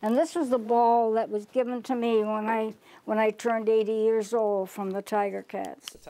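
A dark, mellow tone comes through. The intonation holds fairly even. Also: woman, fairly high pitch for a woman, moderate pace. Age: 80s+. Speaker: longtime football fan. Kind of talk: interview answer. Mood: reminiscing, calm. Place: home room. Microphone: lapel.

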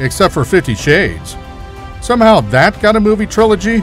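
Music plays in the background as a man talks at a fairly quick pace with a high pitch. His intonation is lively and his loudness very even. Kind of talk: comedic movie trailer narration.

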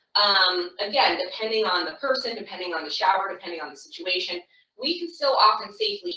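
Against a quiet background, a woman speaks with audible room echo. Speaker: caregiver trainer. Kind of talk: tutorial. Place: bathroom. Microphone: camera far.

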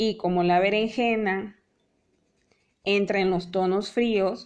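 A woman speaks at a very slow pace in a flat monotone. The background is quiet. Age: 30s. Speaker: painting teacher. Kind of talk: live online painting class. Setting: live video stream. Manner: warm, chatty. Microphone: phone near.

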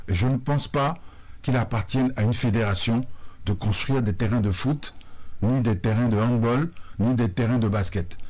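A man speaks at a moderate pace, pausing long and often. His voice is somewhat breathy, with ordinary pitch variation and very even loudness. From Benin. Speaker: sports confederation president; guest. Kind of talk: radio interview. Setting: radio studio. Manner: formal. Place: studio. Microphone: studio mic.

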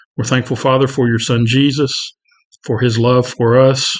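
A man's monotone, flat voice at a moderate pace against a quiet background. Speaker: Bible class teacher. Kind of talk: prayer then lecture. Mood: calm, reverent. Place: office. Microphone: webcam.

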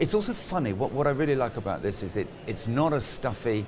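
A man at a very fast pace with very wide pitch swings over noticeable background noise. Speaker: conference host. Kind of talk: interview answer. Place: hall.

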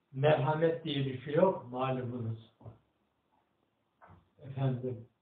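Speaking at a very slow pace, a man uses a fairly high pitch with ordinary pitch variation. Audible room echo surrounds his voice. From Erzincan, Turkey. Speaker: retired agricultural engineer. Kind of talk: interview answer, personal memoir. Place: home room. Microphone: camera far.

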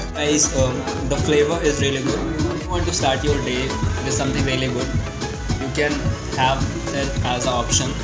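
Loud music plays in the background while a man speaks at a fairly quick pace. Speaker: food vlogger. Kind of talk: casual food review vlog. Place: cafe. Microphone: phone near.

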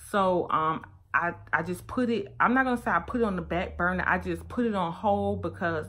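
A woman's fairly low voice with vocal fry and an American accent, at a moderate pace. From US South, Miami, Florida. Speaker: fashion vlogger and boutique owner. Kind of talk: casual vlog monologue. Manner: rambling, conversational.

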